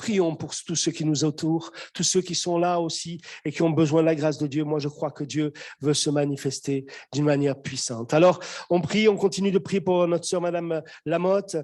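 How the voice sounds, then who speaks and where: At a moderate pace, a man with a fairly high pitch talks in a plain, everyday voice with fairly even intonation. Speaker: pastor. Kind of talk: sermon. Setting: church; video call.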